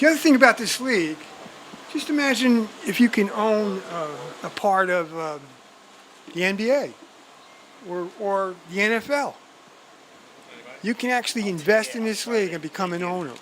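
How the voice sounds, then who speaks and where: The pace is moderate, broken by long, frequent pauses. Noticeable background noise runs underneath. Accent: New Jersey. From New Jersey. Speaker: football commentator. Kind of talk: live commentary.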